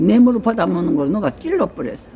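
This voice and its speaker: Amid noticeable background noise, a woman speaks at a fairly quick pace with very wide pitch swings. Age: 90s. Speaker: elderly mother recounting history. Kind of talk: casual interview. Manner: halting.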